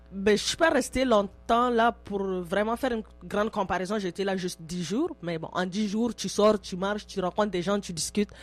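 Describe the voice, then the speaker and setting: Music plays in the background as a woman talks at a moderate pace with hardly any pauses. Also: medium pitch for a woman, ordinary pitch variation. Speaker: immigrant interviewee. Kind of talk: radio interview. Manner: loud.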